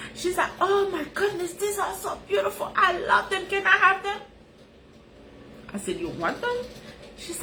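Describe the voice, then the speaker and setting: Over noticeable background noise, a woman with a Haitian accent speaks at a moderate pace in a raised, projected voice with an animated tone. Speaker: life coach, live streamer. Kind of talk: casual live-stream talk.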